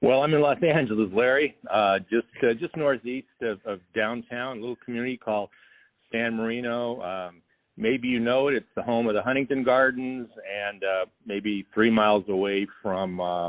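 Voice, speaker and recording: A man with an American accent speaks in an ordinary speaking voice at a medium pitch. His pace is moderate and his pitch variation ordinary. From Southern California. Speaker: social studies teacher. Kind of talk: interview.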